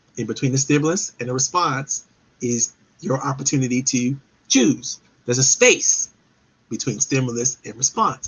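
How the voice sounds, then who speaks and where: At a moderate pace and a medium pitch, with ordinary pitch variation, a man talks in an unremarkable speaking voice. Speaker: live show host and professional development speaker. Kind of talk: live webinar talk.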